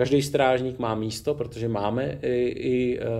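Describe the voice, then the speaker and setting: A man's medium-pitched voice with a dark, mellow tone and ordinary pitch variation, plus audible room echo. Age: 40s. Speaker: former special forces soldier and rally rider, now city police officer. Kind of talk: casual interview. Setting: gym.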